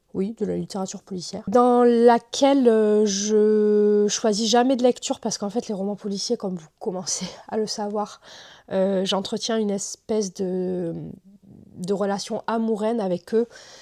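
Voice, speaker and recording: On a very clean recording with a silent background, a woman speaks fairly slowly in a medium pitch, her tone dark and mellow and her intonation fairly even. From southern France. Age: 30s. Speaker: book YouTuber. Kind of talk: casual talk to camera.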